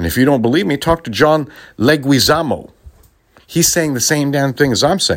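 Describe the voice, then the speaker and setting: On a very clean recording with a silent background, a man speaks at a moderate pace. His pitch is fairly high, with ordinary variation. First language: Spanish. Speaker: podcast host, former radio DJ. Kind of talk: political commentary monologue. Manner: animated, laughing often.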